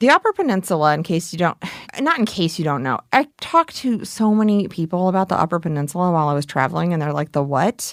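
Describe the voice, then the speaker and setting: A woman's fairly low voice with lively intonation at a very fast pace, dry and close with no echo, on a very clean recording with a silent background. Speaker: investigative podcast host. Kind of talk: scripted narration.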